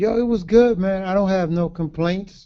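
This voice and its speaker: A man with a New York accent. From Brooklyn, New York (Brownsville). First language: Garifuna. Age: 50s. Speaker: author. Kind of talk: interview. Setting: livestream.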